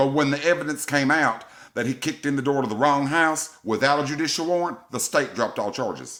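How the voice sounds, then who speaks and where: Speaking at a fairly quick pace in an animated tone, a man with a Southern US accent uses a fairly high pitch. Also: very clean recording, silent background. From US South. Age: 50s. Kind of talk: angry rant to camera.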